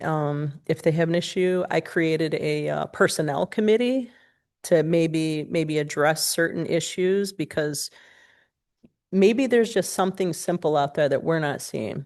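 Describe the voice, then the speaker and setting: In an American accent, a woman with a fairly low pitch speaks at a fairly slow pace with ordinary pitch variation. The background is quiet. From Michigan, Pontiac. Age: 40s. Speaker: job candidate (city administrator). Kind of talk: job interview. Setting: city commission meeting. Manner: halting, many fillers.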